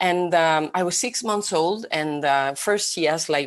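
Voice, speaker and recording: A woman with a Spanish accent. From Spain. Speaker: vision expert. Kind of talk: talk.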